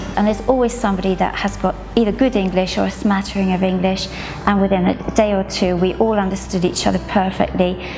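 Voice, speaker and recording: A woman's medium-pitched voice, very fast and monotone, with very even loudness and noticeable background noise. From Scotland. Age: 50s. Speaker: spinal cord injury patient. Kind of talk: patient testimonial interview.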